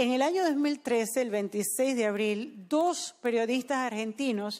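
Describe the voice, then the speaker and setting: Against a quiet backdrop, the pitch rises and falls in an ordinary way. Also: woman. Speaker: sermon interpreter. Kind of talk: sermon. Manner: consecutive interpreter, echoing each English sentence in Spanish; formal, measured, solemn. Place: studio. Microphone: handheld.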